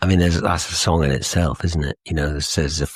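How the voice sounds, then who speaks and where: A man with an English accent and vocal fry is heard in a dry, close sound with no echo. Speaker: musician, songwriter. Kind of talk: interview answer.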